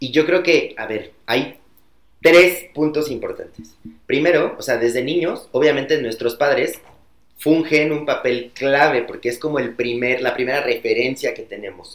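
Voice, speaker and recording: A man talks at a fairly slow pace in a plain, everyday voice. His pitch is fairly high, with ordinary pitch variation. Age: 20s. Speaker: corporate customer experience employee. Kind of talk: casual chat.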